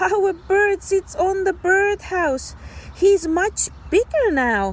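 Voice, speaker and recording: Over light background noise, a woman does a squeaky put-on character voice at an extremely high pitch, speaking at a very slow pace. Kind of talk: children's read-aloud. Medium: read story. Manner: gentle, slow, explanatory.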